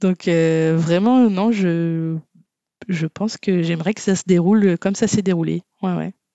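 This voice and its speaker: Very slowly, a woman speaks in a fairly low pitch with fairly even intonation. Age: 30s. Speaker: web developer, former archaeologist. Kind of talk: casual interview.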